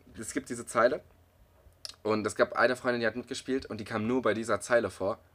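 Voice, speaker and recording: This man has a medium pitch and monotone, flat intonation. He speaks at a very fast pace. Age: 20s. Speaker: podcast co-host, university student. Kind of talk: casual chat.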